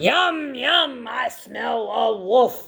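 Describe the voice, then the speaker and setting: A raspy, put-on character voice sits at a fairly high pitch. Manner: booming, menacing.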